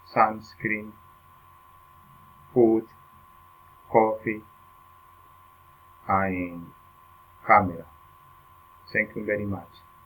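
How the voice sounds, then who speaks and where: A man with a fairly low pitch speaks at a very slow pace in a flat monotone. Long pauses come often. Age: 40s. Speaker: university student. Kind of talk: prepared self-introduction in a foreign language. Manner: halting.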